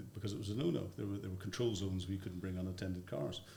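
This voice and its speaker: A man with a Northern Irish accent, noticeable background noise behind him. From Northern Ireland. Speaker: former army officer. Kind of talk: interview answer.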